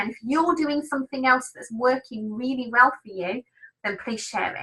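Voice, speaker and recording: A woman with an English accent. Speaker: business trainer. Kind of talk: webinar training. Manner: animated.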